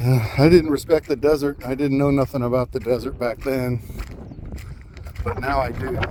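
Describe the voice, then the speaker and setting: A man speaks at a moderate pace in a medium-pitched voice, with fairly even intonation, long and frequent pauses, and noticeable background noise. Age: 60s. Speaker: local resident filming complaint. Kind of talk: casual narration while filming.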